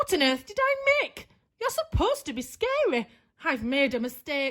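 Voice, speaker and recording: In a put-on character voice, a woman speaks at a moderate pace, shrill and high-pitched. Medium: read story. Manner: snappish, commanding.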